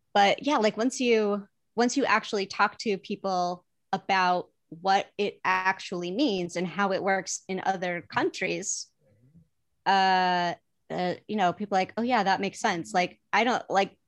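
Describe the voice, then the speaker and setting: A woman with an American accent has an unremarkable speaking voice at a medium pitch. She talks at a fairly slow pace with fairly even intonation against a quiet background. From US Midwest. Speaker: TV development executive and comedy producer. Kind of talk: casual chat.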